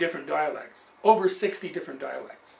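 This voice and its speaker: A man's high-pitched voice, bright and sharp in tone, with a Canadian accent. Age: 60s. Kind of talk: personal introduction and teaching monologue.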